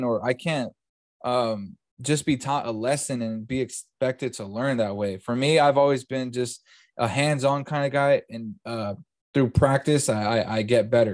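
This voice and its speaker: Against a quiet background, a man with a Californian accent speaks at a medium pitch and moderate pace with ordinary pitch variation. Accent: general Californian American. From California, Bakersfield. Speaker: podcast host. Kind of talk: casual chat. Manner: casual, filler-heavy.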